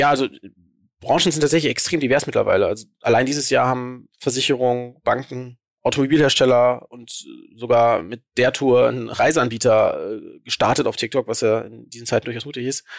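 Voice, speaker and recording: A man talks at a fairly quick pace and medium pitch, his intonation fairly even. His loudness swings widely. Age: 30s. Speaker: social media agency founder. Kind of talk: interview. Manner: hesitant, many fillers.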